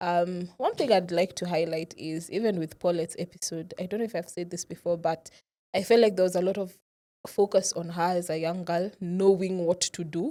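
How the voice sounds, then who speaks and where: A woman speaks with a fairly low pitch and a dark, mellow tone. Her intonation stays fairly even. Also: moderate pace. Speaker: podcast co-host. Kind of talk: casual chat.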